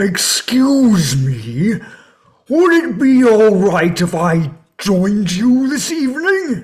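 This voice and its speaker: A put-on character voice, fairly high in pitch, at a very slow pace with very wide pitch swings. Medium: stage play. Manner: polite, gentle.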